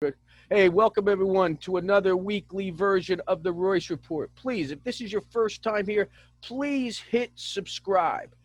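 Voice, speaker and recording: A man speaks with a New Jersey accent. His pitch is high. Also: ordinary pitch variation, fairly slow pace, dry, close sound with no echo. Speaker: business show host. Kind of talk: interview.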